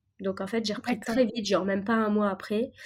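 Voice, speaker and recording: A dark, mellow tone with fairly even intonation. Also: woman. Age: 30s. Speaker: pastry chef and restaurateur. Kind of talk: interview.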